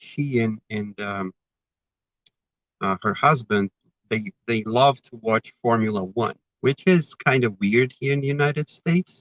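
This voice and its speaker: This man speaks with a Brazilian accent at a medium pitch and moderate pace, with ordinary pitch variation. The sound is dry and close, with no echo. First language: Portuguese. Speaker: spiritist speaker. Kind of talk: talk. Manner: halting.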